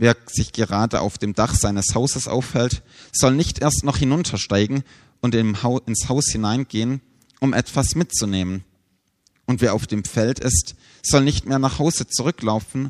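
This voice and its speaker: Against a quiet background, a man with an ordinary speaking voice talks at a moderate pace with ordinary pitch variation, the sound dry and close with no echo. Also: medium pitch for a man. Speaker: preacher. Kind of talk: sermon, preacher addressing a congregation, teaching and explaining scripture. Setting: church. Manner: earnest, measured and explanatory, then solemn when reading scripture.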